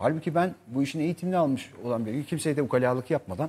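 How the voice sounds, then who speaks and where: A man talks very fast in a dark, mellow tone with a fairly high pitch. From Turkey. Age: 40s. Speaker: actor; actor guest. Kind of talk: interview chat; interview answer. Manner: hesitant with many fillers. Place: studio. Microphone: lapel.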